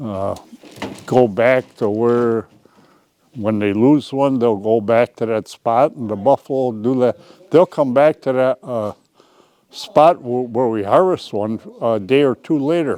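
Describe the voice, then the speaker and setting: A man in a dark, mellow tone, at a fairly slow pace with long, frequent pauses. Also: medium pitch for a man, ordinary pitch variation. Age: 80s+. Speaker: bison rancher. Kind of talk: casual interview. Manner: halting, many fillers.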